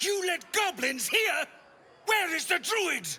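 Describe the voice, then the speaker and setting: A man shouting in a put-on character voice, extremely high-pitched and at a fairly slow pace. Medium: video game. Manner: commanding, shouting.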